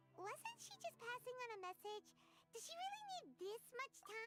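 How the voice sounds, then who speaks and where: A put-on character voice, squeaky and extremely high, delivered at a moderate pace. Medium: video game.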